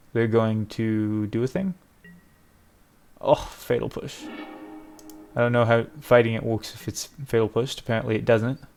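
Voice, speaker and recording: Over music in the background, a man of medium pitch speaks with long, frequent pauses. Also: moderate pace. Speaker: gaming content creator. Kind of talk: gameplay commentary. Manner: casual, thinking aloud.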